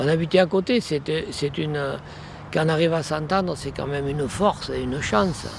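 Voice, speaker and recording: A man's fairly high-pitched, fairly quick speech with ordinary pitch variation, long and frequent pauses, and noticeable background noise. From Provence, Vaucluse (France). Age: 70s. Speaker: retired farmer. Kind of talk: interview. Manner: halting, many hesitations.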